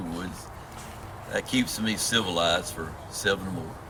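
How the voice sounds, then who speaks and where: A man's voice with a Southern US accent, moderate pace and ordinary pitch variation, against noticeable background noise. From US South, south Georgia near Florida line. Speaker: long-distance hiker. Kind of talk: interview. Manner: halting.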